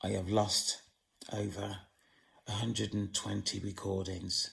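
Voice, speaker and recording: Vocal fry marks a man's fairly low voice. He talks at a fairly slow pace with monotone, flat intonation. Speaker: channel owner speaking on the supernatural and witchcraft. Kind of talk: monologue to camera. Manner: slow, deliberate.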